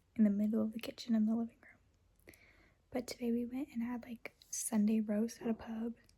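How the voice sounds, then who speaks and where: In an American accent, someone whispers at a moderate pace with big swings in loudness. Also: woman. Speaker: au pair vlogger. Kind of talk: casual vlog. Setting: outdoors. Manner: whispering.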